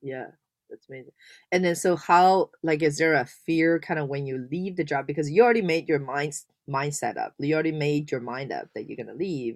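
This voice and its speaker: A woman's very deep, low voice at a fairly quick pace, with big swings in loudness and ordinary pitch variation, on a very clean recording with a silent background. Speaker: podcast host. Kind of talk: interview, casual conversational. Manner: filler-heavy, hesitant.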